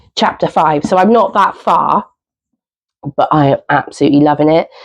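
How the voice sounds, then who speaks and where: A woman talks in a southern English accent. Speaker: book vlogger. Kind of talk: casual vlog chat. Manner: hesitant, many fillers.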